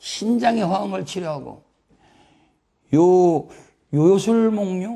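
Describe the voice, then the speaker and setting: A man's high-pitched voice with a dark, mellow tone, delivered at a very slow pace. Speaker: oriental medicine lecturer. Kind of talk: lecture. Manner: animated.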